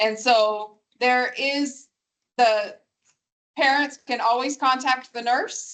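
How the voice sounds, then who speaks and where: A woman speaks loudly and very slowly in a high pitch, her intonation fairly even and her words broken by long, frequent pauses. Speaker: school district official. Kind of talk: q&a at public meeting. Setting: meeting room with microphone. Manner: formal.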